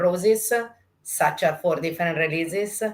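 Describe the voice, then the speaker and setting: A woman with an Italian accent speaks at a moderate pace, fairly low in pitch, her intonation fairly even. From Italy. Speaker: brand ambassador. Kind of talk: product presentation. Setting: at home, video call. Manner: relaxed.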